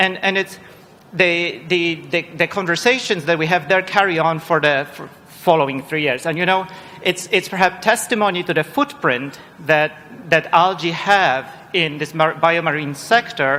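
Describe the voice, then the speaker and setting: Someone speaks with a Polish accent over noticeable background noise. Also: man, high pitch for a man, ordinary pitch variation, moderate pace. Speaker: panel chair, research director. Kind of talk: panel moderation. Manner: halting, many repetitions.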